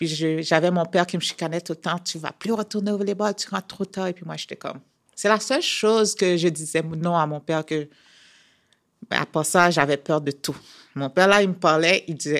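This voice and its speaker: A woman with an unremarkable speaking voice talks at a fairly low pitch in a very clean recording with a silent background. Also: ordinary pitch variation, moderate pace. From Haiti. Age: 30s. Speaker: professional athlete. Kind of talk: interview.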